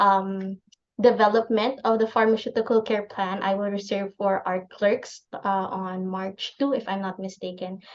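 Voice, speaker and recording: The woman's intonation stays fairly even. She keeps to a moderate pace. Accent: Filipino. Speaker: clinical pharmacist. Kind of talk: lecture.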